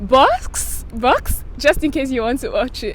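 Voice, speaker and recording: Against noticeable background noise, a woman speaks in an animated tone. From Nigeria, Benue State (Makurdi). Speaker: vlogger. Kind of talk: casual vlog talk.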